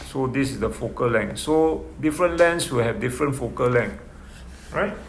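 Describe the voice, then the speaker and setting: Lively in his intonation, a man with a medium pitch speaks at a moderate pace, with audible room echo around him. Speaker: physics tutor. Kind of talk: lecture.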